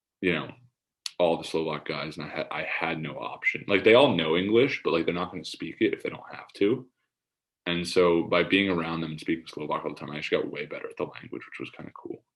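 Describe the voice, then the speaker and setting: Big swings in loudness from a man talking at a very fast pace. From USA. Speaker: college basketball player. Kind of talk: casual interview. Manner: halting, many fillers.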